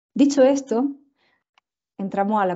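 Over a quiet background, a woman speaks with an Andalusian accent. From Andalusia, Spain. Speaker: tropical medicine physician and researcher; presenter. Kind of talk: lecture. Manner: fast. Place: home room. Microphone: earbuds.

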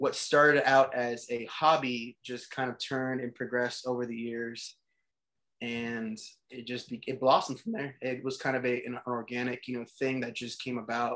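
Against a quiet background, a man talks with monotone, flat intonation. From South Texas, Corpus Christi; Texas. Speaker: photographer; guest. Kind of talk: casual chat. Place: home room. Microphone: video call.

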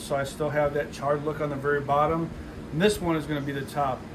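A man's flat, monotone voice over noticeable background noise. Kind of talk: tutorial. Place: garage. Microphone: camera far.

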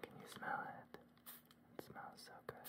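A man whispers, soft-spoken. He goes at a fairly slow pace. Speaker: ASMR roleplay host. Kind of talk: soft spoken ASMR roleplay. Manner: soft close whisper. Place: home room.

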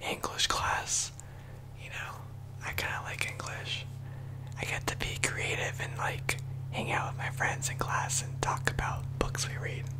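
A man is whispering. He leaves long, frequent pauses. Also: fairly slow pace. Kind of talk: casual monologue, role-play. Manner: soft, close ASMR murmur. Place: home room. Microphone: studio mic.

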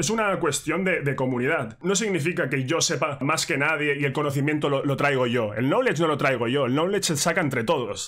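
A man's fairly high voice at a fairly quick pace, with ordinary pitch variation, hardly any pauses, very even loudness and a quiet background. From Spain. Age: 20s. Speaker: music YouTuber. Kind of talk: direct-to-camera rant. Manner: casual, repetitive fillers. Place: home room.

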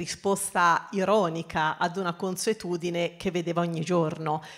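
A woman with a normal speaking voice, fairly low in pitch, at a moderate pace with fairly even intonation, against a quiet background. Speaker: company archivist; speaker. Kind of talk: panel discussion. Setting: stage with audience. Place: hall. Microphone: handheld.

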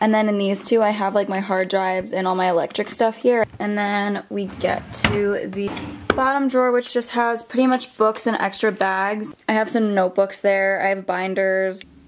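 A woman talks with fairly even intonation. There is light background noise. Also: moderate pace, hardly any pauses. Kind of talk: casual vlog chat. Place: home room. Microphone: phone near.

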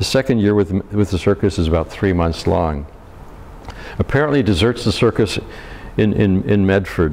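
A man's fairly low voice at a fairly quick pace, with ordinary pitch variation and light background noise. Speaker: local historian; presenter. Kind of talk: history lecture. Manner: hesitant, casual. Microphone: lapel.

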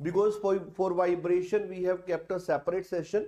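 With a quiet background, a man speaks at a moderate pace in a high pitch with a dark, mellow tone. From India. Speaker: online exam-prep teacher. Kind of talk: live online class. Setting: livestream. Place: studio.

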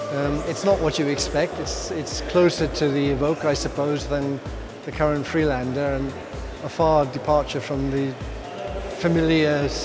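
A man talks at a moderate pace with long, frequent pauses while clear music plays in the background. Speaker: reader reviewing a car. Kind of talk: interview answer. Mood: positive, relaxed. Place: studio. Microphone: lapel.

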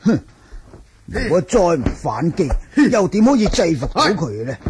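Putting on a character voice, a man speaks at a high pitch with big pitch swings, a husky, rough edge and a slightly mellow tone. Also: moderate pace.

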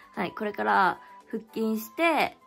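There is faint music in the background as a woman speaks. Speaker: vlogger. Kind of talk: casual vlog chat. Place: home room. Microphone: phone near.

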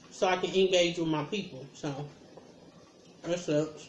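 A woman at a moderate pace with ordinary pitch variation, audible room echo and light background noise. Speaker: mukbang vlogger. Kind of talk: casual vlog chat. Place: home room. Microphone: phone near.

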